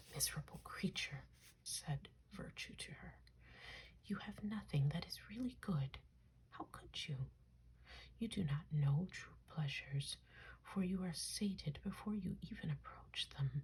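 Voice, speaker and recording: Soft-spoken, the speaker moves at a fairly slow pace with long, frequent pauses. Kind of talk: ASMR soft spoken reading of mythology. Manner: soft-spoken, relaxing.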